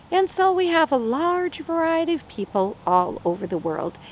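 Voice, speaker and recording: Noticeable background noise sits behind a woman speaking at a fairly slow pace. Her pitch swings very widely. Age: 60s. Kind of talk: short sermon. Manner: conversational.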